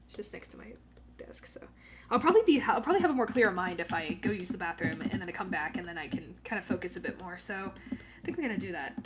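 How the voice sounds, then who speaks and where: Soft-spoken and very fast, a woman at medium pitch makes very wide pitch swings against noticeable background noise. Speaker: drawing livestreamer. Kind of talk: casual chat. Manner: halting.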